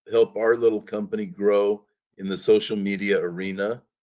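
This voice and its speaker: With ordinary pitch variation, an unremarkable speaking voice proceeds at a moderate pace. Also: man. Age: 60s. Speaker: company president interviewing employee. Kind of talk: casual interview.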